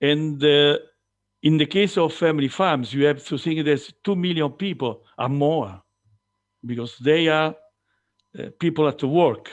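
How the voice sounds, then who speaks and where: With an Italian accent and a fairly high pitch, a man speaks at a fairly slow pace with long, frequent pauses and ordinary pitch variation, in a very clean recording with a silent background. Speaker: farmer and farm organisation representative. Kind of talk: conference presentation. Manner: halting.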